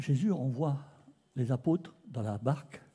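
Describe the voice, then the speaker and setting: A man talks at medium pitch in a dark, mellow tone. His voice is somewhat breathy. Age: 60s. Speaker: preacher. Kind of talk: sermon. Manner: animated.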